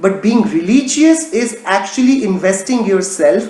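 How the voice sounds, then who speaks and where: Talking at a fairly slow pace, a man with an Indian accent swings his pitch very widely. Audible room echo and noticeable background noise surround him. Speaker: religion teacher. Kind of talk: casual chat; lecture.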